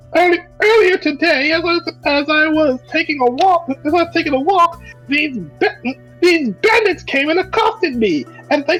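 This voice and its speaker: In a put-on character voice, a female-sounding voice at an extremely high pitch moves at a fairly slow pace with long, frequent pauses, over faint music in the background. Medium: actual play. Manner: polite, chatty.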